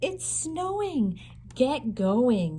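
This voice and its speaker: Over light background noise, a woman puts on a character voice at a fairly high pitch. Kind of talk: bedtime story. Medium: read story. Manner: short rhyming commands.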